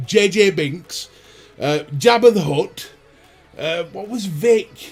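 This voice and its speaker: A man speaks at a very slow pace in a high pitch, with a Lancashire accent. Music plays in the background. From northern England, Burnley, Lancashire. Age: 30s. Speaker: vaping YouTuber. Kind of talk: livestream chat. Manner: animated.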